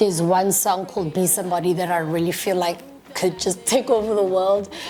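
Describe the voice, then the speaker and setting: Over music in the background, a woman with a South African accent speaks at medium pitch and a fairly quick pace. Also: ordinary pitch variation. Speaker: musician and TV presenter. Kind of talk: interview.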